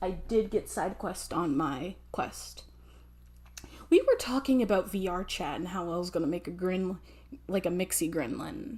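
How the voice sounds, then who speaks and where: A woman speaks at medium pitch and a moderate pace. Her intonation is lively, with vocal fry. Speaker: vtuber streamer. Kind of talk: casual live stream chat. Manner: halting, many fillers and restarts.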